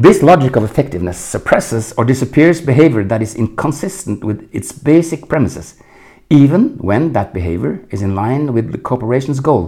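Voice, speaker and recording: Through very wide pitch swings, a man with a Norwegian accent speaks in a dark, mellow tone with vocal fry. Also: medium pitch for a man. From Norway. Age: 60s. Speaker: leadership coach. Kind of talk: solo podcast monologue.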